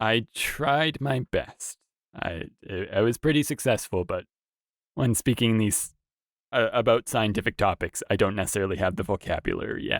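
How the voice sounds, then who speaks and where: A plain, everyday voice from a man with a Canadian accent, medium pitch, ordinary pitch variation and moderate pace, in a dry, close sound with no echo. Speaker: researcher. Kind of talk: casual chat.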